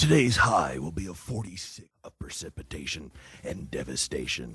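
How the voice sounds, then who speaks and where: A put-on character voice from a man, raspy and dramatic, pitched very deep and low. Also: moderate pace. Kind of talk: grandiose announcer cadence. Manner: dramatic, ominous.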